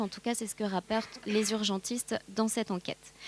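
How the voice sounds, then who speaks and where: A woman's fairly high voice with fairly even intonation, in dry, close sound with no echo. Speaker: pharmacist and addiction researcher. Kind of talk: conference talk. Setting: conference with audience. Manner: fast; hesitant, many fillers.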